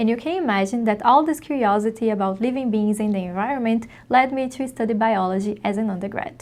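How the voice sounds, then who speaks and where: A woman with a Brazilian accent speaks very fast in a fairly high pitch, leaving hardly any pauses. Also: ordinary pitch variation. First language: Portuguese. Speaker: PhD researcher in ecology. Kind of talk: scripted self-introduction.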